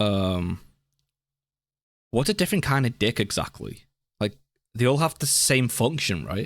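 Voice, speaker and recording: A man talks at a moderate pace in a medium pitch, with vocal fry and lively intonation. Long, frequent pauses mark his speech, and the recording is very clean with a silent background. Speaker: reaction video creator. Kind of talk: reaction commentary. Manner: halting.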